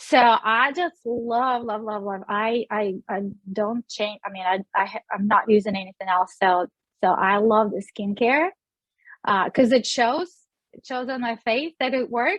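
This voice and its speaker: A woman speaks with a Russian accent at a fairly slow pace. Her pitch is fairly high, with ordinary variation. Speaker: beauty sales director. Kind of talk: interview.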